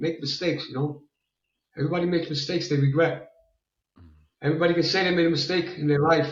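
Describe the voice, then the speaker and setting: A man talks very fast in a New York accent, with a fairly high pitch and ordinary pitch variation. Audible room echo surrounds his voice. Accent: sounds like a New Yorker. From Italy. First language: Italian. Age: 60s. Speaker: fitness enthusiast. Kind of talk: interview. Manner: repetitive, halting.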